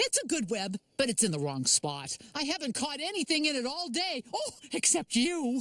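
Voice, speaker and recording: A high-pitched, cartoonish character voice at a moderate pace with hardly any pauses. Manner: warm, cheerful.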